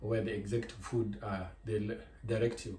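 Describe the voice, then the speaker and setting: This man's voice has a dark, mellow tone with vocal fry. He talks at a moderate pace. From Kenya. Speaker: cooking vlogger. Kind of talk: cooking tutorial. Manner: halting.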